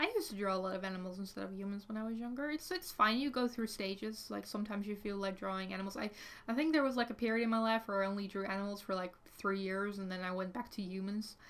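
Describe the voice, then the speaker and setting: A woman with a Dutch accent at a very fast pace, medium in pitch, with ordinary pitch variation. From Netherlands. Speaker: artist streamer. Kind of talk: casual livestream chat. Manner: hesitant, many fillers.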